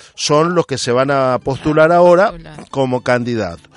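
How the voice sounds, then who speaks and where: Using lively intonation, a man speaks at a fairly slow pace in a dry, close sound with no echo. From Argentina. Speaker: radio host. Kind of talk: casual radio chat. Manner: hesitant, frequent fillers.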